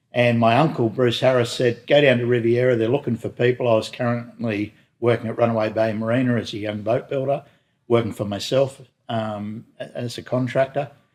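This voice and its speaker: A man's flat monotone at a fairly quick pace. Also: medium pitch for a man, very clean recording, silent background. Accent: Australian. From Newcastle, New South Wales, Australia. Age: 60s. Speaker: boat company executive. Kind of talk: interview. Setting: boat works garage.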